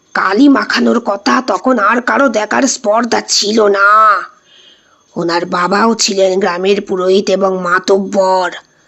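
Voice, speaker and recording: A woman does a put-on character voice, speaking at a fairly slow pace with ordinary pitch variation. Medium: read story. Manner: halting, repeating words.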